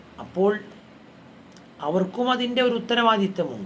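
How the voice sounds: At a moderate pace, a man with a high voice and a fairly bright tone makes big pitch swings amid audible room echo.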